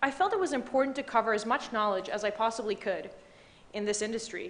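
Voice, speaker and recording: A woman talks very fast at a fairly high pitch with ordinary pitch variation. Room echo is audible. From Dubai, Middle East. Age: 20s. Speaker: banking analyst and award recipient. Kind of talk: prepared speech. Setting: stage with audience.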